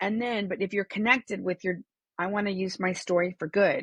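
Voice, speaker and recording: This woman has a normal speaking voice at a medium pitch, with ordinary pitch variation. The sound is dry and close, with no echo. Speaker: comedian and speaking coach. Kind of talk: casual interview chat.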